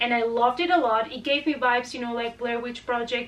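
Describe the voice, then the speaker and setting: A woman with a Spanish accent at a fairly quick pace. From Spain. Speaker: horror movie youtuber. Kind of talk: casual movie recommendations.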